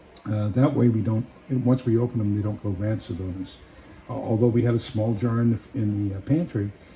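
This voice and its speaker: A man talks at a fairly quick pace and a fairly low pitch. Noticeable background noise runs behind him. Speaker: prepper. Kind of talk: casual talk to camera. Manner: hesitant, many filler sounds.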